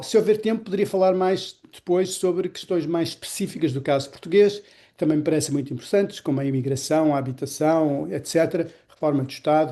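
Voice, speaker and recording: Talking at a fairly quick pace, a man with a dark, mellow tone uses ordinary pitch variation over a quiet background. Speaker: economics professor and public policy researcher. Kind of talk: lecture.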